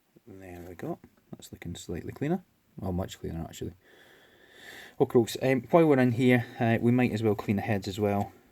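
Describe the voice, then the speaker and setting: A man with a Scottish accent talks at a fairly quick pace, with long, frequent pauses. His medium-pitched voice has a dark, mellow tone and lively intonation. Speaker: electronics repair hobbyist. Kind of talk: tutorial. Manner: hesitant, many fillers; casual.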